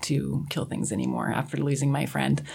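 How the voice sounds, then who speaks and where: A woman with an American accent talks in a very deep, low pitch with vocal fry. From eastern Washington, small town. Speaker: co-host. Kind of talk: radio panel discussion. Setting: studio.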